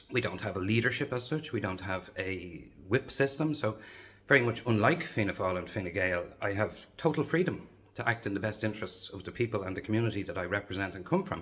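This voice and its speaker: A man speaks quickly, fairly quick in pace and fairly low in pitch, with a Dublin accent. His intonation is lively, and the recording is very clean with a silent background. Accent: Dublin Irish. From Dublin, Ireland (Lucan). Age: 50s. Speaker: local election candidate. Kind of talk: campaign video monologue.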